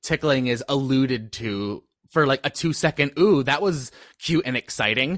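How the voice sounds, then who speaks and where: With lively intonation and a fairly slow pace, a man with an ordinary speaking voice talks at medium pitch, the sound dry and close with no echo and the background quiet. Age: 20s. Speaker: podcast guest. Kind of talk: casual chat.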